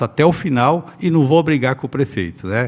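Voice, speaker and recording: A man with an ordinary speaking voice, moderate pace and ordinary pitch variation. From Brazil, Paraná (northwest). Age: 60s. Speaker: politician. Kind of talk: interview.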